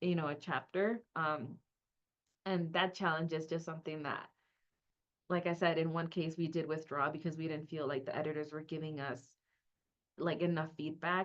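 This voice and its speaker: In a Spanish accent, a woman speaks at a moderate pace with a very deep, low pitch, fairly even intonation, and long, frequent pauses. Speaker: academic librarian. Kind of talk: webinar panel discussion.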